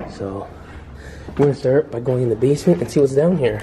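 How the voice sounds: With audible room echo, a man talks at a fairly quick pace in a medium pitch, his intonation lively and his tone dark and mellow.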